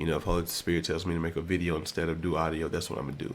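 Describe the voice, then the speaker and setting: Very fast, monotone, flat speech from a man with a very deep, low pitch. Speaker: content creator. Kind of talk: casual monologue. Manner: casual, hesitant with fillers.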